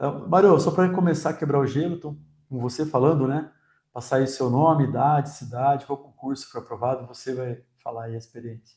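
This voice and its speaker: A man speaks at a fairly quick pace and a fairly high pitch, somewhat breathy and dark, mellow in tone. His pitch varies in an ordinary way, while his loudness swings widely. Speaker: exam prep teacher. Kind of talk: interview.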